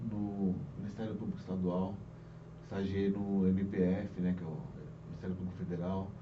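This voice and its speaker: A man is talking. Echo from the room is audible. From Brazil, Guarulhos (São Paulo). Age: 40s. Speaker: police chief. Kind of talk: interview.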